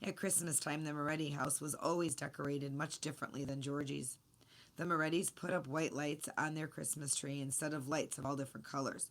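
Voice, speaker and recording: Putting on a character voice, a woman speaks at a fairly quick pace in a very deep, low, raspy pitch with monotone, flat intonation. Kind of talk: children's story reading. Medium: read story.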